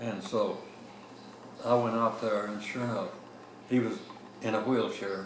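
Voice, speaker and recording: A man's medium-pitched voice, flat and monotone, at a moderate pace with long, frequent pauses, plus audible room echo and noticeable background noise. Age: 90s. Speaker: retired navy captain. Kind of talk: oral history interview. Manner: halting.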